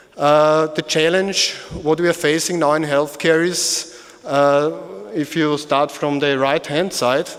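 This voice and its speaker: In an Austrian accent, a man speaks at a fairly high pitch and a fairly slow pace. His intonation is flat and monotone, and his loudness stays very even. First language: German. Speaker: medical device company executive. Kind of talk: conference presentation. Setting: conference hall with audience. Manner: halting.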